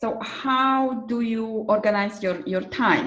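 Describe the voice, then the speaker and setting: This woman's voice is fairly high in pitch. She speaks at a very slow pace. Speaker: career coach, podcast host. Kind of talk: interview question.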